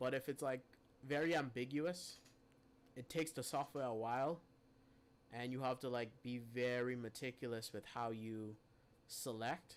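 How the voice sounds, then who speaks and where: Pausing long and often, a man talks at a moderate pace in a medium pitch with fairly even intonation. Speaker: live streamer teaching photo editing. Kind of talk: tutorial. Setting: live stream.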